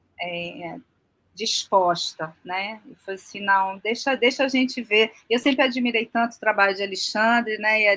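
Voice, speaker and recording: In a strong Rio de Janeiro accent, a woman speaks at a fairly slow pace with a fairly high pitch, a bright, sharp tone, ordinary pitch variation and big swings in loudness. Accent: Rio de Janeiro (carioca), still strong. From Rio de Janeiro, Brazil. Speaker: aquaculture farmer and designer. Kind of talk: podcast interview.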